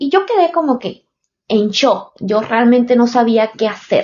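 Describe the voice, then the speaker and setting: Speaking at a fairly slow pace with a Panamanian accent, a woman uses lively intonation at a fairly high pitch. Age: 30s. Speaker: podcaster. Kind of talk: personal storytelling podcast. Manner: halting, many fillers.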